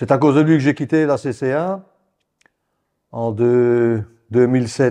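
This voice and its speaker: The voice has a dark, mellow tone and ordinary pitch variation. It moves at a very slow pace with long, frequent pauses against a quiet background. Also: man. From Belgian Ardenne, Wallonia; Wallonia, Belgium. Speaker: retired football referee; guest. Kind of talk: casual interview. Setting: at his home. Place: home room. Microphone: lapel.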